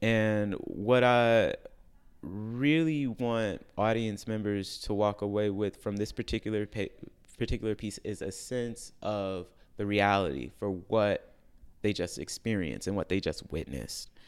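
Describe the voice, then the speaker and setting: A plain, everyday voice at a fairly slow pace, with ordinary pitch variation, on a very clean recording with a silent background. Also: man, fairly low pitch for a man. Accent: American. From US Midwest, Chicago. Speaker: classical vocalist. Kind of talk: interview. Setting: studio.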